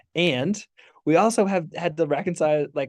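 A man's dark, mellow tone moves with ordinary pitch variation. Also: quiet background. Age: 30s. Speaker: ministry worker and podcaster. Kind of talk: casual conversational interview.

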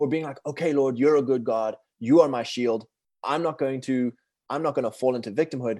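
Speaking at a fairly quick pace, a man with a South African accent keeps a medium pitch and fairly even intonation. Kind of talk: casual interview chat.

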